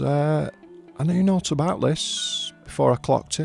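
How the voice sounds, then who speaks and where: Over music in the background, a man with a Northern English accent speaks at a fairly slow pace. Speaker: comic book reviewer. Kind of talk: casual review talk to camera.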